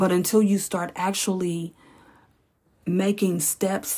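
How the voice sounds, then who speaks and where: A woman with an unremarkable speaking voice, medium in pitch, at a fairly slow pace, in a very clean recording with a silent background. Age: 40s. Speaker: podcast host, former hairstylist. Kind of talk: casual monologue.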